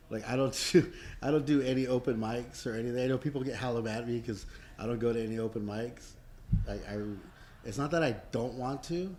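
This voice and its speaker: A man speaks in a plain, everyday voice at medium pitch. He keeps a fairly quick pace with ordinary pitch variation. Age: 40s. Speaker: comedian. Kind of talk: casual chat. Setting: comedy club green room. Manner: casual, profanity-laced.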